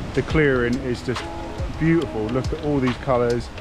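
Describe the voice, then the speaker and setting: A man speaks at a moderate pace in a monotone, flat intonation. The sound is dry with no echo, and clear music plays in the background. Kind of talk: casual vlog chat. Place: forest. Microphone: phone near.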